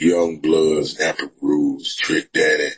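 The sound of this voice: A man speaks slowly at an extremely low pitch with a husky, rough edge. His pitch moves very little.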